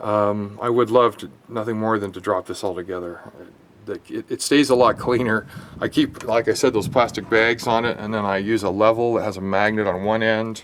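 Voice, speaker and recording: With fairly level intonation, a man delivers his words in a fairly low voice. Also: moderate pace. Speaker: DIY car repair video maker. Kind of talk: casual tutorial. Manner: rambling, hesitant with fillers.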